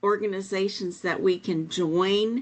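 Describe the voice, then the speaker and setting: A woman's voice at a medium pitch. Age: 70s. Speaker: faith leader. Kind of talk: panel discussion. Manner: halting.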